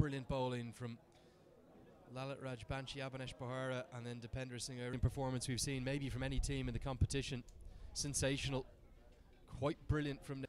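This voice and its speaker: The speech runs at a fairly quick pace but breaks into long, frequent pauses. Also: man, medium pitch for a man. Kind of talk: live cricket commentary. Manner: animated, excitable, fast.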